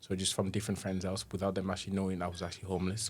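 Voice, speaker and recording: Very fast speech in a monotone, flat intonation, with a somewhat breathy quality. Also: man. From DR Congo, moved to Teesside aged 10. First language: French. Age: 30s. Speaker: tutor and charity trustee. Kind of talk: interview conversation. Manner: halting, with many false starts.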